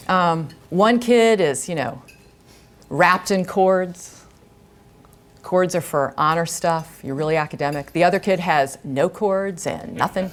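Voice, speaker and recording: Speaking at a fairly slow pace with long, frequent pauses, a woman uses a fairly low pitch and ordinary pitch variation. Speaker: guest speaker, former teacher. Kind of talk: talk to an audience. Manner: loud.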